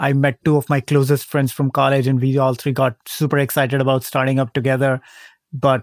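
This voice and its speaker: A man speaks fairly quickly in a medium pitch. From northern India, small town. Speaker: tech startup founder. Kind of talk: interview.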